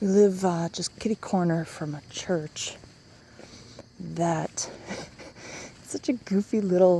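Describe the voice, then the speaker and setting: There is noticeable background noise as a woman speaks with a fairly low pitch and fairly even intonation. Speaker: vlogger. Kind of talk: casual vlog monologue. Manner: slow, halting.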